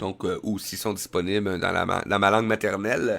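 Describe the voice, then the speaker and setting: A man with a Quebec accent speaks at a fairly low pitch on a very clean recording with a silent background. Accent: Québécois French. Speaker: web radio host. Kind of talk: live web radio monologue. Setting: live stream with headset and mic. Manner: hesitant, many fillers.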